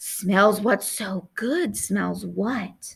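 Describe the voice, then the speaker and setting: A raspy, hissing, female-sounding put-on character voice at a medium pitch. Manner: curious, a little excited, not threatening.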